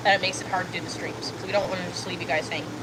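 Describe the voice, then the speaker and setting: A woman's voice over noticeable background noise. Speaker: livestreamer and haunted house artist. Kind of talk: casual livestream chat while painting.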